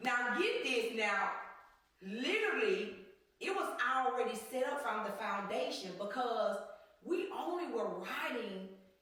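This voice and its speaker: A woman speaks loudly at a high pitch with very wide pitch swings. Her pace is fairly slow, with audible room echo. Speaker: podcast co-host. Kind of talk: casual chat.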